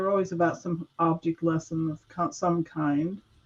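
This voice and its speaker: At a moderate pace, the speaker has an unremarkable speaking voice. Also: woman. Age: 60s. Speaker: guest sharing Mandela effect experiences. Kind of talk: casual chat.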